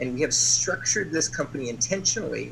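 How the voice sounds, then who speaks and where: With an American accent, a man speaks at a medium pitch in a bright, sharp tone marked by vocal fry. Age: 60s. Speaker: company executive. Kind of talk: sales pitch.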